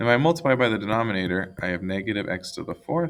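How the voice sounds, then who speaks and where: Ordinary pitch variation in a man's speech. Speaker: math teacher. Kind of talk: tutorial. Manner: fast.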